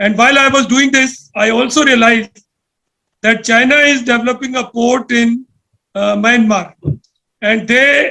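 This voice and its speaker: Raising and projecting his voice, a man speaks at an extremely high pitch with a bright, sharp tone, fairly even intonation and a fairly slow pace. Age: 60s. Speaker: panel speaker on security policy. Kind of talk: talk to a think tank panel. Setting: video call.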